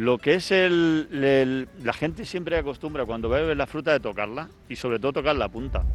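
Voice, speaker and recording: A man's fairly high voice at a moderate pace, with ordinary pitch variation and hardly any pauses. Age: 50s. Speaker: cooperative president. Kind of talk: interview during site tour. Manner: halting.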